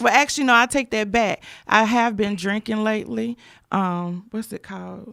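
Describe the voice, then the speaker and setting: Bright and sharp in tone, a woman speaks at a fairly high pitch with fairly even intonation and big swings in loudness, in a very clean, dry, close recording with a silent background and no echo. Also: moderate pace. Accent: American. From Rocky Mount, eastern North Carolina. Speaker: podcast host. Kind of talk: casual chat.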